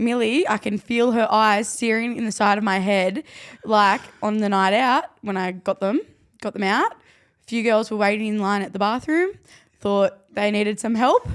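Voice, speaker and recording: This woman has an Australian accent. Her loudness swings widely. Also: fairly high pitch for a woman, ordinary pitch variation, moderate pace, very clean recording, silent background. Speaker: rugby league player and podcast co-host. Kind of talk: casual chat.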